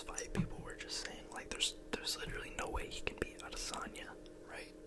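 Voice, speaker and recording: A man whispering at a fairly quick pace amid noticeable background noise. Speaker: ASMR YouTuber. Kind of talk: whispered ASMR ramble about MMA. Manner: whispered, soft-spoken.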